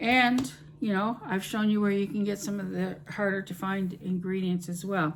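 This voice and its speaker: A woman talks at a moderate pace. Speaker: home cooking YouTuber. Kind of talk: casual vlog talk to camera. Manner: hesitant, many fillers.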